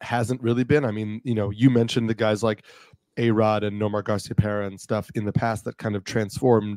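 Quiet background and a dry sound with no echo. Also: man. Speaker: podcast co-host. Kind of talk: commentary. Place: home room. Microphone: studio mic.

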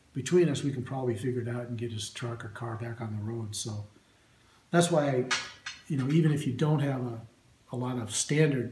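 Audible room echo and light background noise surround a man who speaks at a fairly quick pace with ordinary pitch variation. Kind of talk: casual show-and-tell tutorial. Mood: relaxed, friendly. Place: workshop. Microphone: phone near.

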